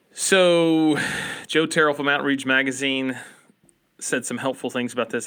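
A man with an Appalachian accent, a bright, sharp tone and a moderate pace. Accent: Appalachian American. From Appalachia, US. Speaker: podcast host. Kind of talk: casual podcast discussion.

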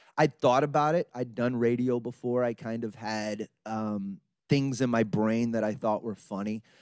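Recorded very cleanly against a silent background with a dry, close sound and no echo, a man with an American accent uses an unremarkable speaking voice at medium pitch, fairly even intonation and a moderate pace. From southeast Texas, Beaumont. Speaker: comedian. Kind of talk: interview.

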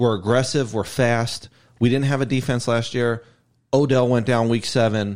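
A man with an American accent talks at a moderate pace in a medium pitch, with very even loudness and a monotone, flat intonation. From Ohio, Cleveland area. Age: 40s. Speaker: sports fan guest. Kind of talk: casual chat.

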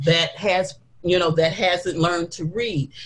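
A woman with an American accent talks at a moderate pace in a somewhat breathy voice of medium pitch. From Detroit, Michigan. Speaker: women's ministry leader. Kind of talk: interview.

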